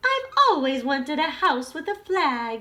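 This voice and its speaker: A woman performs a put-on character voice, pitched high. Her pace is moderate. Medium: read story. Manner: opinionated, decisive.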